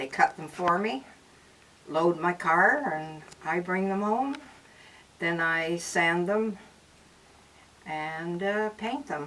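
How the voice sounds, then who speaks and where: A woman with a Canadian accent speaks very slowly at a fairly low pitch, with lively intonation and long, frequent pauses, over noticeable background noise. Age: 80s+. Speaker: craftswoman. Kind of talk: casual interview.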